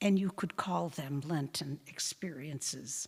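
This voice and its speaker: A woman speaks at a very slow pace, somewhat breathy, with ordinary pitch variation. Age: 90s. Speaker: religious sister giving a Lenten talk. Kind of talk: parish talk with audience discussion. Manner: halting, with fillers and restarts.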